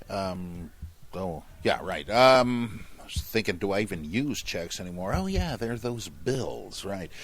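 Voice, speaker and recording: This man's pitch is fairly low and his intonation lively. He speaks at a fairly slow pace. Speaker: podcast host, biblical scholar. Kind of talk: podcast talk, reading listener questions. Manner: humorous, casual.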